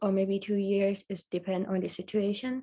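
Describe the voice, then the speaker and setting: The speaker has a Thai accent. The tone is dark and mellow. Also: woman. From Thailand. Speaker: university student. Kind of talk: casual interview. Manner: hesitant.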